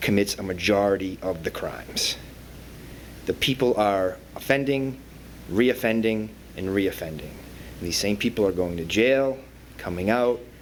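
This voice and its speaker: The speaker has a Boston accent. The pace is fairly slow. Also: man. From Boston area, Massachusetts. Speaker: probation officer. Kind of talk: panel talk. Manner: halting, many fillers.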